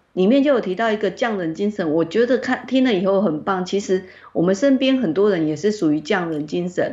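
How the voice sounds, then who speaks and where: A woman at a medium pitch talks at a fairly quick pace with lively intonation and hardly any pauses. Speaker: publishing editor-in-chief discussing a book. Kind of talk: online interview about a book. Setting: online call. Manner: expressive, emotive delivery.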